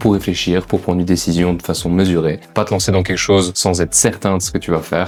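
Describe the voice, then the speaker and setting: With music in the background, a man talks at a fairly quick pace in a very deep, low pitch. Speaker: vlogger. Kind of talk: casual vlog monologue.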